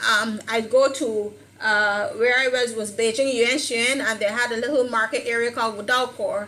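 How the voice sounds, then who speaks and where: Noticeable background noise sits behind a woman with a fairly high pitch. She speaks at a moderate pace in a monotone, flat way. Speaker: Chinese language learner and teacher. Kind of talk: online discussion panel. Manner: halting.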